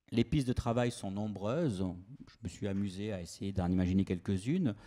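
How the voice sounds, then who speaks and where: A man with a slight Toulouse accent speaks at a moderate pace in a dark, mellow tone and a fairly low pitch, on a very clean recording with a silent background. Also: ordinary pitch variation. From France, Toulouse. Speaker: university lecturer. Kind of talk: conference talk. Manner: hesitant, frequent filler sounds.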